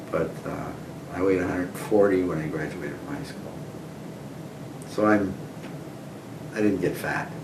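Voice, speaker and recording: A man with very deep, low pitch speaks at a moderate pace, with ordinary pitch variation and long, frequent pauses. Audible room echo and noticeable background noise fill the recording. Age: 70s. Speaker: oral history interviewee. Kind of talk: oral history interview. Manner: conversational, reminiscing.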